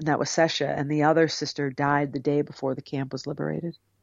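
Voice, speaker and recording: A woman speaks with a very deep, low pitch. Her intonation is monotone and flat, and her pace is fairly quick. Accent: American. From US Northeast, Cape Cod, Massachusetts. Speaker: author. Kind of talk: interview. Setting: video call.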